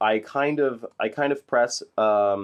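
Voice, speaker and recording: A man at a medium pitch with fairly even intonation, over a quiet background. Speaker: online marketing instructor. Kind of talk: tutorial. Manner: halting, many fillers.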